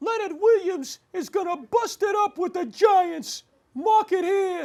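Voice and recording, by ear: Using a put-on character voice, a man speaks in falsetto at an extremely high pitch and a fairly slow pace.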